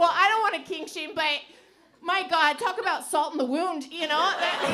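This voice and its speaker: With an American accent, a woman uses a raised, projected voice at an extremely high pitch, with audible room echo and noticeable background noise. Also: ordinary pitch variation. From US Pacific Northwest, Portland, Oregon. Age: 30s. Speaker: stand-up comedian. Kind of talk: stand-up. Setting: stage with audience. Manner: halting; fast.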